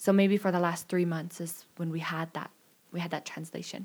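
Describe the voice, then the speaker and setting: Fairly quick, fairly low-pitched speech from a woman, monotone and flat, on a very clean recording with a silent background. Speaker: returned missionary. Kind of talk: casual chat.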